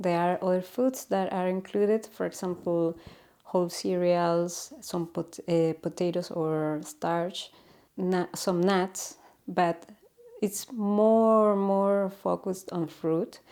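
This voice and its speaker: Speaking at a very slow pace with a Chilean Spanish accent, a woman keeps her intonation fairly even. Her medium-pitched voice has a dark, mellow tone. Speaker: natural health educator. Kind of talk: informal explainer talk. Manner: halting, with many fillers.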